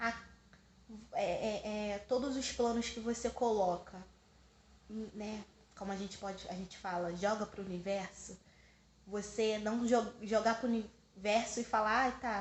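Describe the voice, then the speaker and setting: Somewhat breathy, a woman speaks at a fairly slow pace with fairly even intonation and long, frequent pauses. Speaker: spiritual vlogger. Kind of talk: personal vlog monologue.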